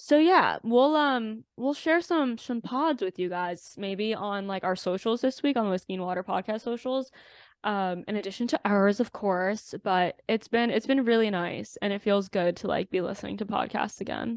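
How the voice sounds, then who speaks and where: In an ordinary speaking voice, a woman talks with a fairly high pitch, lively intonation, a moderate pace and hardly any pauses, with a dry, close sound with no echo over a quiet background. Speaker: podcast co-host. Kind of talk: casual chat. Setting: video call.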